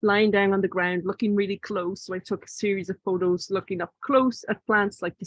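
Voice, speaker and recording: With an Irish accent, a woman speaks at a moderate pace and a medium pitch. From Ireland, Ardee (County Louth). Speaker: visual artist and author. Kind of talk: book talk presentation. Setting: video call. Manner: halting.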